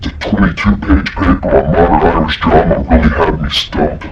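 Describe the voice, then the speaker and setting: A man performs a put-on character voice at a very deep, low pitch. He goes at a moderate pace against loud background noise. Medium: stage. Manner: tired.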